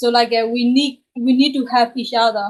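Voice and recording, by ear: A woman talks at a moderate pace in a fairly high voice. Her intonation stays fairly even.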